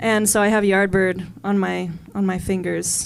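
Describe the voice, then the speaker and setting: A woman speaks with an American accent. Noticeable background noise runs under her voice. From Arizona. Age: 20s. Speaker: jazz saxophonist. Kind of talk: casual talk to audience at concert.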